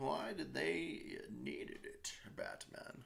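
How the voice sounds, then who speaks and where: A man speaks at a very slow pace. He uses a put-on character voice. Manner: poor, half-committed impression.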